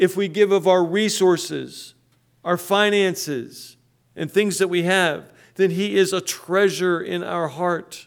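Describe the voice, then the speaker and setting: In an American accent, a man speaks in a high voice at a fairly slow pace with fairly even intonation, on a very clean recording with a silent background. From western Pennsylvania. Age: 60s. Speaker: pastor. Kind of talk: sermon. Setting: church.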